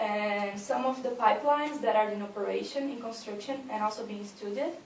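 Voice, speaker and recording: A woman talks at a fairly high pitch with a Brazilian Portuguese accent. Audible room echo and noticeable background noise surround her voice. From Brazil, São Paulo state. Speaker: university student. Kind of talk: class presentation. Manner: halting, with frequent fillers.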